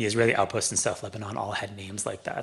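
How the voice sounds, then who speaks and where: Somewhat breathy, a man with a Canadian accent speaks at a fairly low pitch. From Canada, Toronto. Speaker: author and former journalist. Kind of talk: public talk.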